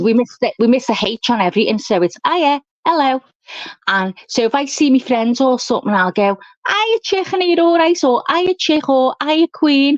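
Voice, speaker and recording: A woman's high voice in a strong Scouse accent, with very wide pitch swings and very even loudness, in a dry, close sound with no echo. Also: moderate pace. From England, Liverpool. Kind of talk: casual chat. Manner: animated.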